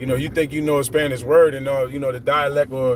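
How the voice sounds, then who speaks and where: A man talks at a fairly quick pace, his pitch fairly high. Noticeable background noise runs underneath. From Philadelphia, US. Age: 50s. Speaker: vlogger. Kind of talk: casual livestream monologue. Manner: rambling, conversational.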